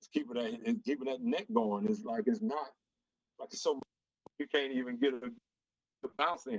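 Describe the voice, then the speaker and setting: In an American accent, a man swings his pitch very widely, recorded with a dry, close sound and no echo. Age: 60s. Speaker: music manager and producer. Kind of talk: podcast interview. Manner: halting, repetitive restarts.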